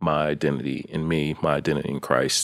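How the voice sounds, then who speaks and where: With an American accent, a man speaks at a very deep, low pitch with vocal fry and fairly even intonation. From Maryland, US. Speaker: operations manager. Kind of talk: casual chat.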